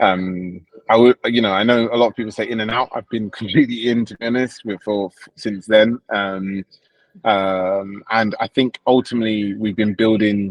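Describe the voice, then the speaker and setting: Here a man with a London accent speaks at a fairly low pitch in a monotone, flat intonation. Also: moderate pace. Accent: British (London). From England, London. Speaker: crypto project founder. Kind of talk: livestream interview. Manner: hesitant, many fillers.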